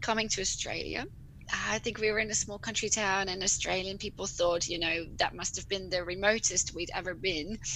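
A woman with a Dutch accent talks at a fairly quick pace and a medium pitch, her bright, sharp tone carrying vocal fry and fairly even intonation. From Netherlands. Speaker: rural GP and medical educator. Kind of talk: casual interview.

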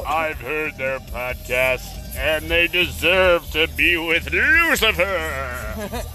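A man in a put-on character voice at a very slow pace, with clear background noise.

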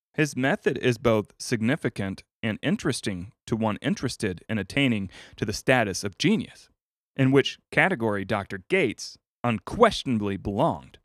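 With an ordinary speaking voice, a man talks at medium pitch and a moderate pace, his intonation lively, on a very clean recording with a silent background. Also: dry, close sound with no echo. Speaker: podcast host reading audiobook. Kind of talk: audiobook reading of a 1937 self-help book, steady and formal. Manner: measured, even-paced, formal.

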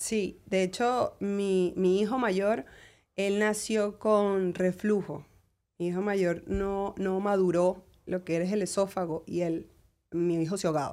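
Very slowly, a woman speaks with a dark, mellow tone and fairly even intonation. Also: medium pitch for a woman, very clean recording, silent background. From Venezuela. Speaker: lawyer. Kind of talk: interview.

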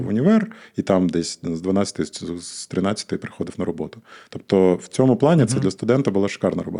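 A man talks with a dark, mellow tone. Behind him, the background stays quiet. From Ukraine, Odesa. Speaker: digital agency co-founder. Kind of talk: casual interview chat.

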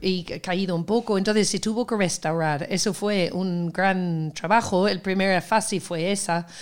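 With a normal speaking voice, a woman at medium pitch talks at a fairly slow pace with fairly even intonation and hardly any pauses, on a very clean recording with a silent background. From Seville, Andalusia. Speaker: festival organizer, cultural producer. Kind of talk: casual interview.

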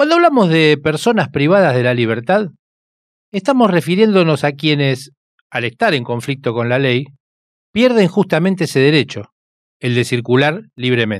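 A man with a Rioplatense accent speaks at a moderate pace in a fairly high pitch. His pitch swings very widely. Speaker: radio host. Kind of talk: radio documentary narration.

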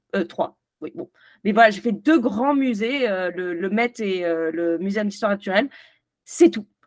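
A woman with a normal speaking voice talks at medium pitch. Her pace is fairly slow and her intonation lively. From France. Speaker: film youtuber. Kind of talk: casual interview. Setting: video call.

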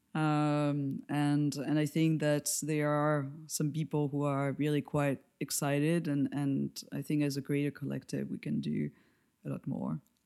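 In a French accent, a woman speaks fairly slowly in a very deep, dark and mellow voice with monotone, flat intonation, on a very clean recording with a silent background. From France. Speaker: lighting designer and educator. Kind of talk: interview.

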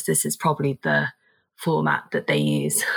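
This woman keeps a moderate speed. She talks in a British accent. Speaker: former college athlete. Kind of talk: casual chat.

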